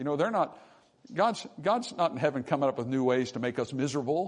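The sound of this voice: A man speaks at a fairly quick pace in a medium pitch, his intonation lively.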